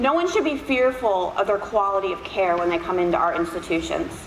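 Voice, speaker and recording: A woman's lively intonation at a very fast pace, with audible room echo and noticeable background noise. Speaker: nurse educator. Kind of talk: lecture. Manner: animated.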